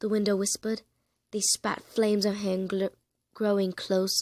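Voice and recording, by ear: Over a quiet background, a natural voice reads aloud.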